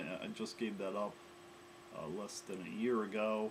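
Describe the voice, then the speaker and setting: The speaker talks at a moderate pace with an American accent and ordinary pitch variation. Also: man. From US Midwest, Chicago area. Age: 50s. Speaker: coding bootcamp student. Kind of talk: self-introduction. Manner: hesitant with frequent fillers.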